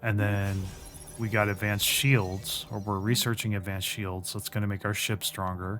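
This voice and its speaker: A man's monotone, flat delivery at a fairly low pitch and moderate pace, with music in the background. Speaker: gaming YouTuber. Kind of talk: gameplay commentary. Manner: hesitant, filler words.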